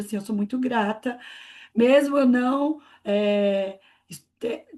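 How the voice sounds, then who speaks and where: Her high-pitched voice, as a woman's, holds a fairly even intonation throughout. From Brazil, Greater São Paulo (Mauá). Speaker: education researcher. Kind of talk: panel discussion.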